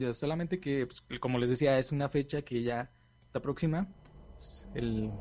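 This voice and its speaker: This man speaks at a fairly slow pace in a medium pitch, with a Mexican accent. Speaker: podcast host. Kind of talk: casual chat.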